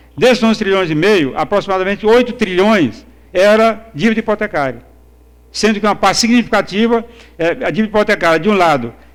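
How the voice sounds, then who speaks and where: A man's high-pitched voice at a fairly quick pace, with very even loudness and ordinary pitch variation. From Brazil, Northeast. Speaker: economics professor. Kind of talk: conference lecture. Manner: halting, many fillers and repetitions.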